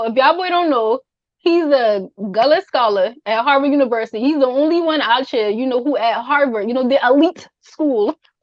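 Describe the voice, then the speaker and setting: This woman has a high-pitched voice with ordinary pitch variation. She speaks at a fairly quick pace. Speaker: podcast host. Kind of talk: casual podcast hosting.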